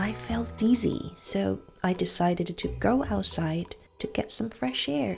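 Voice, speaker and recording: Music plays in the background as a woman talks at a fairly slow pace. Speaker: storyteller. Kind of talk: scripted narration. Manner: whispered.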